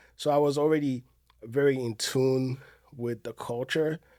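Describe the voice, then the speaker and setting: Recorded very cleanly against a silent background, a man with an Ivorian accent talks at a moderate pace and medium pitch in a dark, mellow tone. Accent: West African (Ivorian). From Ivory Coast. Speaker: restaurant owner and event promoter. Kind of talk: podcast interview. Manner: halting, many fillers.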